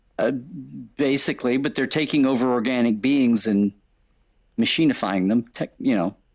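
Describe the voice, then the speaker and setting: A man's medium-pitched voice at a moderate pace, with ordinary pitch variation, very even loudness, and a very clean recording over a silent background. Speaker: actor, author and stellar cartographer. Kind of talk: casual chat. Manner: rambling, halting.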